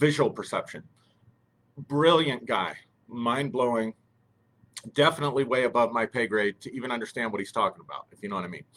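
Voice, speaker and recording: Fairly brisk speech comes from a man. He sits at a mid-range pitch that varies normally. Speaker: live stream host. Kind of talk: live stream talk. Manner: halting, many fillers.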